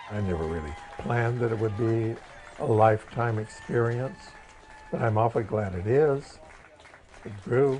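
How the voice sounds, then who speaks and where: Long, frequent pauses mark a man's moderate pace at medium pitch, with ordinary pitch variation and noticeable background noise. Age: 80s+. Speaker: retired film set designer. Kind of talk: documentary interview.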